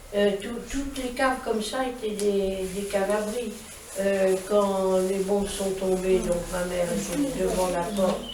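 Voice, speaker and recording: A woman talks at a very slow pace with a medium pitch and fairly even intonation. Audible room echo and noticeable background noise are present. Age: 90s. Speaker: war witness. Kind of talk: testimony to schoolchildren. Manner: halting.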